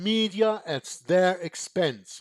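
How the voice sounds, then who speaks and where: This man talks in a high pitch. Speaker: Bible study channel host. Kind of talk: scripture study reading and discussion. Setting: video call. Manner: halting, repeats words.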